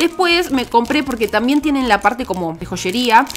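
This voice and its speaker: Here is a woman with a Rioplatense accent and a fairly high pitch. Her intonation is lively. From Buenos Aires, Argentina. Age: 20s. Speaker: YouTuber. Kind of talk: casual haul talk to camera. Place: home room. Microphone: studio mic.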